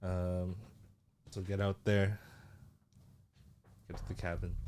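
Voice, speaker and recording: On a very clean recording with a silent background, a man speaks in a very deep, low pitch with monotone, flat intonation. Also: fairly slow pace. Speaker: podcast co-host. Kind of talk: casual chat. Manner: casual, filler-heavy.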